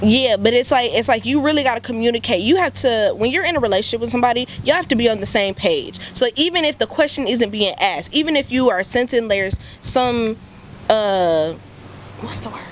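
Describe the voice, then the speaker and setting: Loud and animated, a woman speaks fairly quickly at a high pitch with lively intonation against noticeable background noise. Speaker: podcast panelist. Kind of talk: casual chat.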